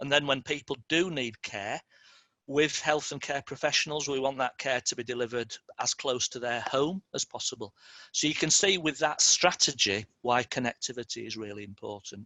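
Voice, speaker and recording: A man speaks at a medium pitch, and that pitch varies in an ordinary way. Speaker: city digital programme presenter. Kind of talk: presentation. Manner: fast; halting.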